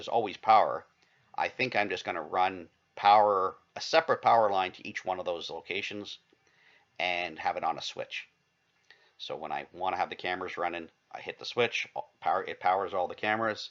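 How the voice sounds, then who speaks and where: A man mumbles at a fairly quick pace. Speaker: vlogger. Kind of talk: casual vlog monologue. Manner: mumbling; halting, many false starts.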